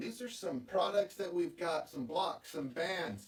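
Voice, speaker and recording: The man's pace is fairly slow. His voice is high. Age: 50s. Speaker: golf vlogger. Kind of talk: casual vlog talk. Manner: animated.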